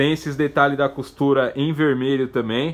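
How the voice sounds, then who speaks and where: Fairly even intonation at a moderate pace. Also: man. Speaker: motorcycle gear shop salesperson. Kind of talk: product demonstration. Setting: shop, showing jacket on camera. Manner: repeats 'tá, gente?' to keep listeners hooked. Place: shop. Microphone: phone near.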